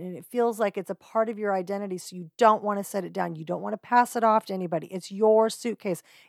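At a moderate pace, a plain, everyday voice with ordinary pitch variation comes through in a very clean recording, with a silent background and a dry, close sound free of echo. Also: woman. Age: 50s. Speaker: podcast host. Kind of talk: casual monologue.

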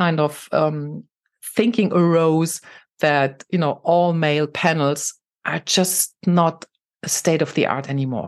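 At a fairly slow pace, a woman with a German accent speaks in a fairly low pitch over a quiet background. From Germany, Saarland. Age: 50s. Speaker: tech executive and women's network founder. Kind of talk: interview.

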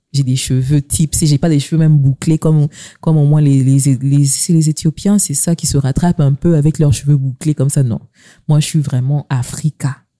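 A woman speaks with a very deep, low pitch and a dark, mellow tone. Her loudness stays very even, and the sound is dry and close with no echo. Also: moderate pace. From DR Congo, Kasai. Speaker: podcast host. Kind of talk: casual chat.

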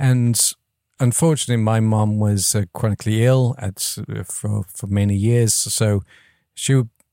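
Dark, mellow tone at a moderate pace, with a slight English accent, fairly even intonation and a dry, close sound with no echo. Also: man. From England. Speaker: audio software founder. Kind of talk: casual interview. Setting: video call.

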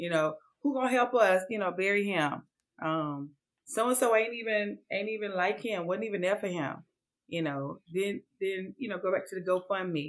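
A woman talks at a moderate pace in an unremarkable speaking voice with medium pitch. The recording is very clean, with a silent background. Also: ordinary pitch variation. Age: 40s. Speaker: home organizer. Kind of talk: casual chat.

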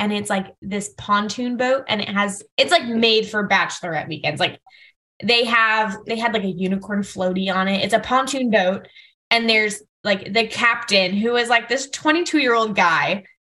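At a fairly slow pace, a woman speaks with a bright, sharp tone, fairly high in pitch with ordinary pitch variation. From Fort Lauderdale area, Florida. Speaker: wedding planner. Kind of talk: casual chat.

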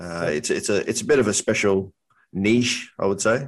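The voice has an Australian accent with ordinary pitch variation. The background is quiet. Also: man. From North Queensland, Australia. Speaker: trading educator and construction superintendent. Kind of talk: casual interview.

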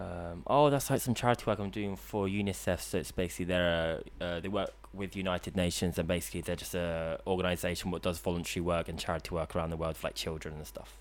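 With a London accent, a man races along very fast with hardly any pauses in a very deep, low voice with vocal fry and lively intonation, in a very clean recording with a silent background. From London (Queensbury). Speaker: student and drone operator. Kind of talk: casual chat. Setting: studio.

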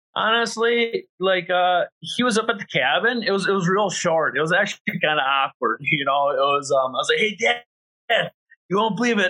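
Raised and projected, a man's high-pitched voice carries a bright, sharp tone, lively intonation and an American accent at a moderate pace, in a dry, close sound with no echo. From Wisconsin (Green Bay). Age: 30s. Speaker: ATV racer. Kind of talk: casual interview chat. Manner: casual, halting with fillers.

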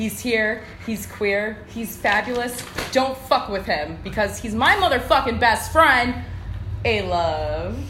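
There is noticeable background noise behind the voice. The delivery moves at a fairly slow pace. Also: woman. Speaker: podcast host. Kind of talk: casual banter.

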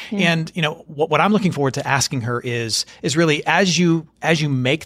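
A man talks in a normal speaking voice with ordinary pitch variation. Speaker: podcast host. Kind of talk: interview.

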